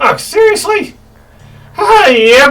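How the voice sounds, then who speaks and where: A woman's squeaky, put-on character voice at an extremely high pitch, with very wide pitch swings. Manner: slurred.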